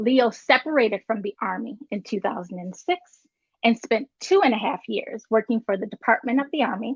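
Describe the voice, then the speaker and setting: With a normal speaking voice and an American accent, a woman with a fairly high pitch talks at a moderate pace with lively intonation, the sound dry and close with no echo. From North Carolina, near Virginia border. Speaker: show host. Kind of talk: reading a guest introduction.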